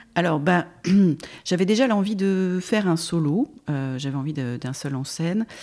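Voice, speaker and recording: This woman has a fairly low pitch and lively intonation. She talks at a fairly slow pace with long, frequent pauses. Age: 50s. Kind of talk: interview. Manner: halting.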